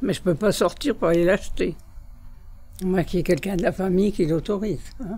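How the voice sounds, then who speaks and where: The voice has a dark, mellow tone and moves at a fairly quick pace, broken by long, frequent pauses. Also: woman, medium pitch for a woman, ordinary pitch variation. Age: 70s. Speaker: nursing home resident. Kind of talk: interview.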